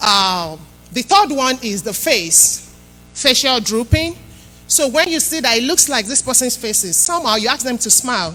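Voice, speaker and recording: A woman's voice swings very widely in pitch. Music plays behind her. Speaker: health educator. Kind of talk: health talk to church congregation.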